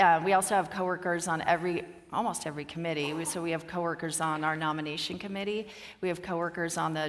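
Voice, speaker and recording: A woman with an American accent talks at a very fast pace in a fairly low, monotone, flat voice. There is noticeable background noise. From US, Oregon. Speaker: company executive, conference speaker. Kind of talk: conference Q&A.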